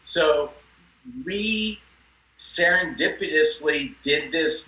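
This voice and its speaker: Noticeable noise sits behind the voice. The accent is American. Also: man. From US West Coast (Los Angeles). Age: 60s. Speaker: cosmetic dentist. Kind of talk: interview.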